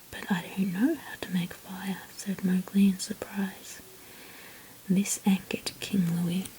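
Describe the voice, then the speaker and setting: A fairly slow whisper is heard against noticeable background noise. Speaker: ASMR artist. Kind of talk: read story. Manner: whispered.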